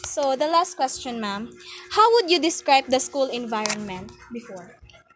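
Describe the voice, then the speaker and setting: A woman's high voice with very wide pitch swings and big swings in loudness, over noticeable background noise. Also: moderate pace. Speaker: student interviewer. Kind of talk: interview.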